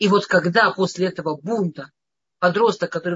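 A woman talks at a fairly quick pace. Her pitch is fairly low, with ordinary pitch variation. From Russia, Moscow. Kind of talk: lecture. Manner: halting.

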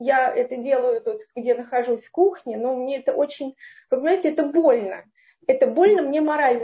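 A woman's high pitch with ordinary variation. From Moscow, Russia. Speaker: listener asking a question. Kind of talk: emotional question in online Q&A. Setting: online video call, at home in the kitchen. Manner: halting.

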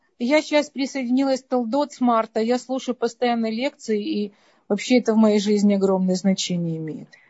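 A woman with a fairly high pitch speaks in a somewhat breathy way, her pitch varying in an ordinary manner. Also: moderate pace. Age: 60s. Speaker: listener asking a question. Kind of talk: question to lecturer. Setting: Zoom call.

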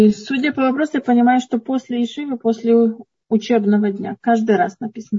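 A woman talks at a fairly quick pace in a fairly high pitch with fairly even intonation. Hers is a plain, everyday voice. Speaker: moderator relaying questions. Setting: online video session.

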